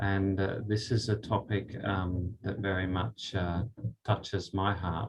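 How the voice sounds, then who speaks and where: Somewhat breathy, a man talks at a fairly slow pace. His pitch is fairly low. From Australia. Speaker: spiritual speaker. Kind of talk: talk with guided meditation. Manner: halting.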